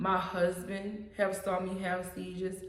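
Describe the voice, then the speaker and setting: In a room with audible echo and noticeable background noise, a woman talks fairly slowly at a medium pitch. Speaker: vlogger sharing health story. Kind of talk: personal testimony. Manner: mumbles words at times.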